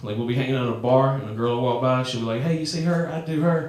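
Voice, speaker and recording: Someone speaks very fast with a Southern US accent, with audible room echo and noticeable background noise. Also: man. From US South. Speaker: comedian. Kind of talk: stand-up. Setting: stage with audience. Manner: animated.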